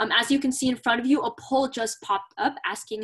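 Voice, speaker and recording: The background is quiet as a woman speaks with an American accent. Her voice is high and her pace fairly quick. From Southern California. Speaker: student campus ambassador. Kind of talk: informational presentation. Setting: video call. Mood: friendly, welcoming. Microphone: video call.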